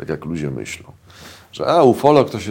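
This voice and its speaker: A man talks at a moderate pace. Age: 50s. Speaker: journalist and UFO researcher. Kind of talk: casual interview.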